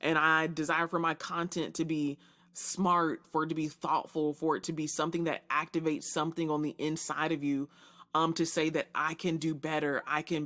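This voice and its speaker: In a very clean recording with a silent background, a woman with a very deep, low pitch talks at a fairly quick pace in an animated tone. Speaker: podcast host and leadership strategist. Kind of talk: solo podcast monologue. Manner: fast.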